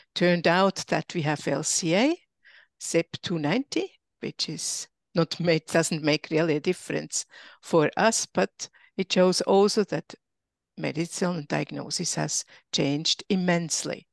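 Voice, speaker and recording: Against a quiet background, a woman with a fairly low pitch and vocal fry speaks at a fairly slow pace with ordinary pitch variation, the sound dry and close with no echo. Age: 70s. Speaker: panelist with visual impairment, patient advocate. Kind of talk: panel discussion.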